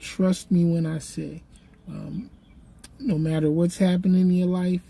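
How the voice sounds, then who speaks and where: A woman speaks fairly slowly in a fairly low, somewhat breathy voice with a dark, mellow tone. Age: 60s. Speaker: YouTuber and podcaster. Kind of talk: casual vlog monologue. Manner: halting, many fillers.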